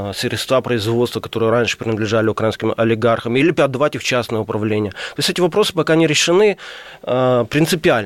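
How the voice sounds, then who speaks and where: The sound is dry and close with no echo, and the voice has ordinary pitch variation. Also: man. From Crimea, Ukraine. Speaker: publicist and journalist. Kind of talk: radio interview. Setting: radio studio.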